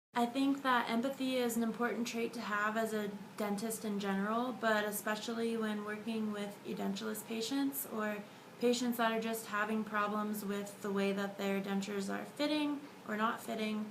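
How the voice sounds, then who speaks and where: A woman talks at a moderate pace with a fairly high pitch and fairly even intonation. Noticeable background noise and audible room echo fill the recording. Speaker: dental student. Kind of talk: video diary.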